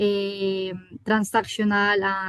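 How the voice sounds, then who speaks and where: This woman has a fairly high pitch and speaks in a Colombian accent. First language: Spanish. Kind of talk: panel discussion. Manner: halting.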